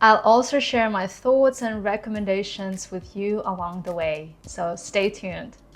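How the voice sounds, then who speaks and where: With a Kazakh accent, a woman speaks at a medium pitch and a fairly slow pace, with ordinary pitch variation and hardly any pauses. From Kazakhstan. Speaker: YouTuber, former corporate employee. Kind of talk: vlog monologue.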